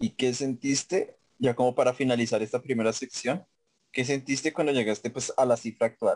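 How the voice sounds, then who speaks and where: A man with vocal fry talks at a moderate pace in a dry, close sound with no echo. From Colombia, Facatativá (Cundinamarca). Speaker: podcast host. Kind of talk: casual chat.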